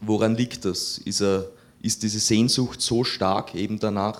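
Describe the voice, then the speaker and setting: A man's fairly low voice with fairly even intonation, an unremarkable speaking voice. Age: 20s. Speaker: seminarian, audience member. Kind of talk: audience question.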